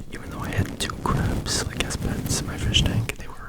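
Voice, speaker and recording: A whispered voice moves at a fairly slow pace while noticeable background noise carries on behind it. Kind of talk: ASMR soft rambling. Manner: whispered, very quiet; soft-spoken.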